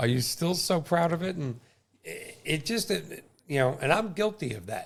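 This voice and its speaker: This is a man speaking. His pace is fairly slow. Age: 60s. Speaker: podcast host and mortgage lender. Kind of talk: casual interview chat. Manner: animated.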